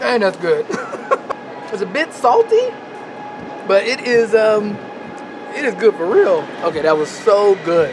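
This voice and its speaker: A man speaks in an American accent at a fairly slow pace, his pitch high and his tone animated with lively intonation. Long pauses come often, and there is noticeable background noise. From United States. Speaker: vlogger. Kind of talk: vlog narration. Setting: train station and train. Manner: casual, animated; quiet.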